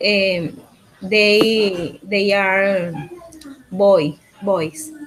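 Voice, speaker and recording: Noticeable background noise sits under a woman talking at a medium pitch with ordinary pitch variation. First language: Spanish. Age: 30s. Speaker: language student. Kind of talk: online language class. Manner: halting.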